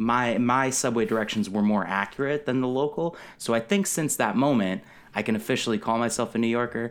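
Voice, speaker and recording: Here a man has an ordinary speaking voice at a medium pitch, with ordinary pitch variation. He talks at a fairly quick pace with very even loudness. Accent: American. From Connecticut, US. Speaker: comedy writer and podcaster. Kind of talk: casual chat.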